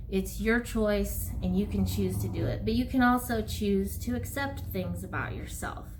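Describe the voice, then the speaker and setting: A woman talks at a moderate pace, her voice carrying audible room echo over noticeable background noise. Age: 40s. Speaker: counselor and yoga teacher. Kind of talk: casual talk to camera. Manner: hesitant, with fillers.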